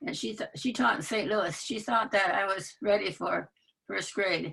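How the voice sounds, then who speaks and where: With a Michigan accent, a woman speaks at a moderate pace and a medium pitch. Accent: US Midwest (Michigan). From Michigan (rural area near Muskegon). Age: 90s. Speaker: retired teacher. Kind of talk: interview conversation. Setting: video call. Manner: halting.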